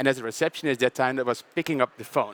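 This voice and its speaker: This man speaks with a Dutch accent at a fairly high pitch, with ordinary variation in it. The sound is dry and close, without echo. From southern Netherlands, Brabant. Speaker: panel moderator. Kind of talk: panel introduction with personal story.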